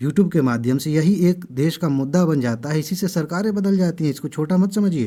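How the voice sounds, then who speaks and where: On a very clean recording with a silent background, a man talks at a moderate pace with a dark, mellow tone and lively intonation. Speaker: exam coaching YouTuber. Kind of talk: impassioned video monologue. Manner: loud; animated.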